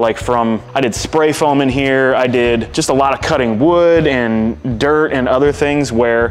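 Faint music plays in the background. A man talks with ordinary pitch variation. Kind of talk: casual vlog chat. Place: garage. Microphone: lapel.

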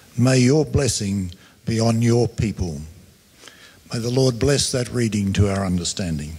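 Somewhat breathy, a man talks at a fairly slow pace in a dark, mellow tone. His intonation is lively. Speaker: scripture reader. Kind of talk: reading aloud. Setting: church. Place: church. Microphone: handheld.

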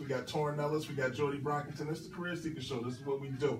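A man with an American accent talks at a very fast pace, with audible room echo and light background noise. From Philadelphia. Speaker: radio host and recruiter; radio host. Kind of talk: radio talk show. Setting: radio studio. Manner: animated. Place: studio. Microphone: camera far.

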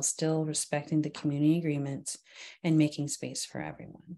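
A woman with a very deep, low pitch and a dark, mellow tone. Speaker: meeting facilitator. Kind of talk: reading meeting agreements aloud. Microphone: video call.

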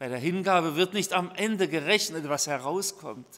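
The man's voice sits high in pitch. He is speaking. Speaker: preacher. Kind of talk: sermon. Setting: church. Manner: formal; earnest. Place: church. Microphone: podium.

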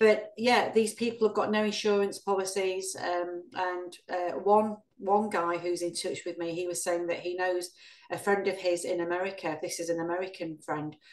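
A woman talks with fairly even intonation at a moderate pace. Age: 50s. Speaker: ex-Jehovah's Witness activist, channel host; Witness, channel host. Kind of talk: interview. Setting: video call. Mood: serious, concerned. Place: home room. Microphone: video call.

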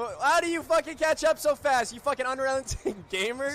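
A man's squeaky put-on character voice at an extremely high pitch, fairly quick, with light background noise.

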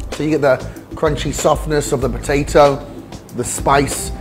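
Clear background music under a man's moderately paced speech. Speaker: beer reviewer. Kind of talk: review commentary. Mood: enthusiastic, upbeat. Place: bar.

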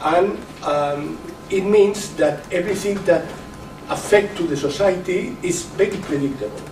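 A man with a Catalan accent and a high pitch speaks at a fairly slow pace with ordinary pitch variation. Audible room echo and light background noise surround him. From Catalonia. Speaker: professor and education official. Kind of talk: lecture. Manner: halting. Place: meeting room. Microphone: camera far.

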